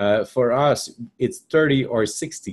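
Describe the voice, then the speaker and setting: The speaker uses lively intonation with a French Canadian accent. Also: man. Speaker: software trainer. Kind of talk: webinar tutorial. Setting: live webinar. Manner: hesitant, many fillers.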